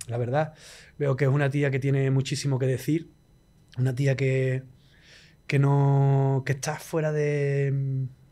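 A man with a dark, mellow tone and an Andalusian accent talks at a very slow pace in a monotone, flat intonation, with long, frequent pauses. The recording is very clean, with a silent background. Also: fairly high pitch for a man. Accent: Andalusian Spanish (Cádiz). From Andalusia, Spain (La Línea de la Concepción, Cádiz). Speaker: musician. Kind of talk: casual interview chat.

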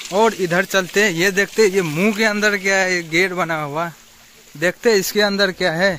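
A man speaks in a raised, projected voice with fairly even intonation. The sound is dry with no echo, over light background noise. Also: moderate pace. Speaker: vlogger. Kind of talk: casual vlog chat. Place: garden. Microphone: phone near.

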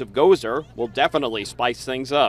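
A man speaks at a medium pitch with ordinary pitch variation and a fairly quick pace. It is an unremarkable speaking voice. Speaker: TV news reporter. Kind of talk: TV news report. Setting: outdoors.

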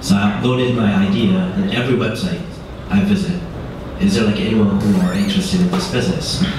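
A man at a very fast pace with very wide pitch swings, strong room echo and noticeable background noise. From Korea, raised in Middle East and abroad. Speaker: startup founder. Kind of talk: on-stage interview. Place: hall.

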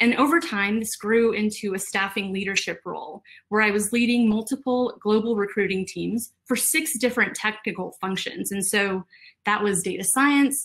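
Against a quiet background, a woman with a fairly high pitch speaks at a moderate pace with ordinary pitch variation. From Texas. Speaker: HR professional. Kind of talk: virtual conference talk. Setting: video call. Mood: warm, smiling. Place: home room.

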